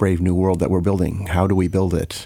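This man has a very deep, low pitch and a dark, mellow tone, with an American accent. He talks at a moderate pace on a very clean recording with a silent background. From US Midwest (Chicago area). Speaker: computer science professor. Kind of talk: interview.

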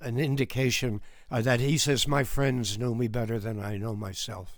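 Audible room echo surrounds a man speaking fairly slowly with fairly even intonation. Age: 80s+. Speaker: retired film critic. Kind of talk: casual chat. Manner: halting, many fillers.

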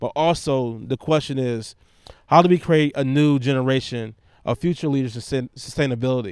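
The speaker uses an American accent at a moderate pace with ordinary pitch variation, on a very clean recording with a silent background. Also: man, medium pitch for a man. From Detroit, northwest side. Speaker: urban beekeeper, nonprofit founder. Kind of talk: casual interview.

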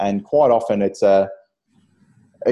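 With an Australian accent, a man speaks in a dark, mellow tone. His pitch is fairly low and his pace is moderate. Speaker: fitness podcast host, personal trainer. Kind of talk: casual interview.

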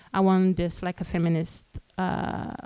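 With a Quebec French accent, a woman speaks at a medium pitch in a dark, mellow tone, recorded with a dry, close sound and no echo. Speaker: street artist and community organizer. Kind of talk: panel presentation. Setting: stage with audience. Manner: halting.

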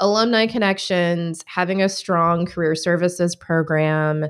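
A woman speaks at a fairly slow pace in a fairly low pitch, with ordinary pitch variation and an ordinary speaking voice. The recording is very clean, with a silent background. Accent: American. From Michigan. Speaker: enrollment marketing specialist. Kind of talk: casual chat.

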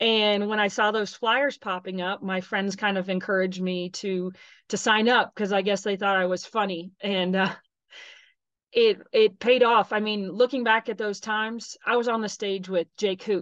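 At a moderate pace, a woman with an unremarkable speaking voice and medium pitch talks in fairly even intonation against a quiet background. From Texas. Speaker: soccer referee. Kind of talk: interview.

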